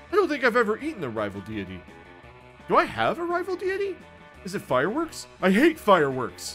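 A man's put-on character voice at a fairly quick pace, over clear music in the background. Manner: excitable, dopey, enthusiastic.

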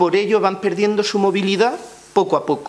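A man's voice at a high pitch. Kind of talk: press conference statement. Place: meeting room. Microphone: podium.

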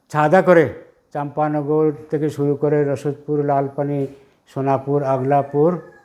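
A man's plain, everyday voice at a fairly high pitch. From Jiribam area, Manipur, India. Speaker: retired headmaster. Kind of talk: interview.

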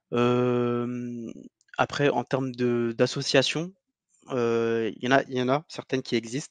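A man's very slow, flat monotone at medium pitch, with a dry, close sound, no echo and a quiet background. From Algeria. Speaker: cultural heritage advocate. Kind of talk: interview. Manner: halting.

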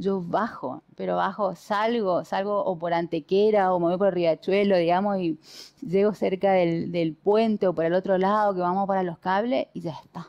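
A woman's moderately paced speech with fairly even intonation over a quiet background. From Argentina, Chaco (Resistencia); Chaco, Argentina. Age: 40s. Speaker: politician; candidate. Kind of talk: interview. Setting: at home. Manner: halting. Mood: warm, reflective. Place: home room. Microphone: headset.

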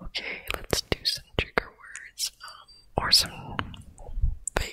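Someone whispers at a very slow pace. The voice is soft-spoken. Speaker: ASMR streamer. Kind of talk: soft-spoken ASMR chat. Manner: soft close-mic whisper.

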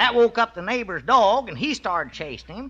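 A man's raised, projected voice over crowd noise in the background. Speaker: radio comedy actor. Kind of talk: scripted radio comedy dialogue. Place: studio. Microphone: old recording.

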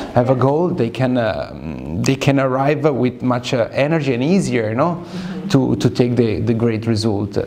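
With lively intonation, a man speaks at a moderate pace over light background noise. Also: medium pitch for a man. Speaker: fashion model. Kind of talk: interview. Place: studio. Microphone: lapel.

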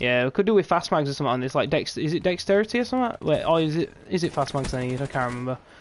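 A very fast, animated voice with a British accent. It is quiet. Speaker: gaming streamer. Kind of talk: live gameplay commentary. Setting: live stream at night. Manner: casual, animated.

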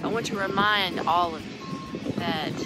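A woman's voice with ordinary pitch variation, dry with no echo, against loud background noise. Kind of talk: casual vlog chat. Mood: earnest, grateful. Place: open country. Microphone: phone near.

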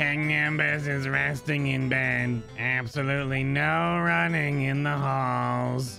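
A put-on character voice moves at a fairly slow pace over background music. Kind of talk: gameplay commentary, reading game text aloud.

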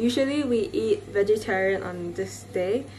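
A woman speaks over light background noise. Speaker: vlogger. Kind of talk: casual vlog chat. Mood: cheerful, relaxed. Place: home room. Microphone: phone near.

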